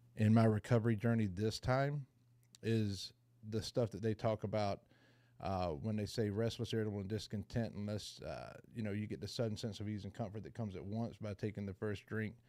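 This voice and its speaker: Speaking with a Southern US accent, a man has a fairly low pitch and a dark, mellow tone. His pace is fairly quick, with ordinary pitch variation. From US South, rural Georgia near Savannah. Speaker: person in recovery sharing story. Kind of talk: recovery meeting testimony. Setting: video call.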